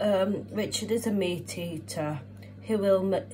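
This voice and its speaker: Very slow speech from a woman, with noticeable background noise. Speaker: home cook vlogger. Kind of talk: casual vlog chat. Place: kitchen. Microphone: phone near.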